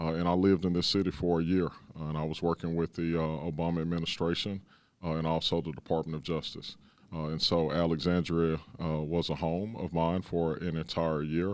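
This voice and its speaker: The man's pitch is very deep and low, delivered in a monotone with flat intonation. The recording is very clean, with a silent background. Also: fairly quick pace. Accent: Texan. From Dallas, Texas. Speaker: police chief. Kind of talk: interview. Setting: city hall.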